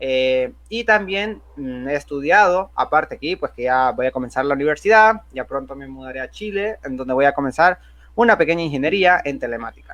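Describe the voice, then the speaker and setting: Against a quiet background, a man with a fairly high pitch speaks at a moderate pace, using lively intonation and big swings in loudness. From Honduras. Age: 20s. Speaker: software developer and youtuber. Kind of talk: tutorial. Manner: casual, with filler words.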